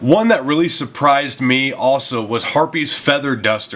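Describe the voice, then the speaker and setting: Medium pitch and ordinary pitch variation from a man at a moderate pace, over noticeable background noise. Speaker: card game content creator. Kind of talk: casual talk to camera.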